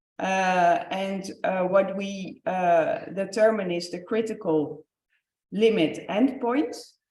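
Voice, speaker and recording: Audible room echo hangs around speech that has ordinary pitch variation. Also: woman. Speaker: researcher presenting project results. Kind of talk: conference presentation. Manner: hesitant, many fillers.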